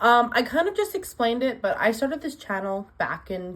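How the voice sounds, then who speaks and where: A woman is talking. Her pace is moderate. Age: 20s. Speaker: booktuber vlogger. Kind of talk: casual chat.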